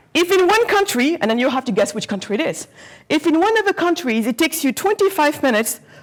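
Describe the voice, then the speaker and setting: Over noticeable background noise, a woman with a high pitch speaks at a very fast pace in an animated tone with very wide pitch swings. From Senegal, raised partly in Germany. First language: not English; English is her fourth language. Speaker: entrepreneur, guest speaker. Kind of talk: talk to students. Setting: lecture hall with student audience. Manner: occasionally stumbling over words; animated, interactive.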